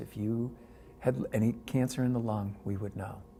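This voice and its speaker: Somewhat breathy and dark, mellow in tone, a man speaks at a fairly low pitch with monotone, flat intonation. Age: 60s. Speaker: cancer patient and advocate. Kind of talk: personal testimony.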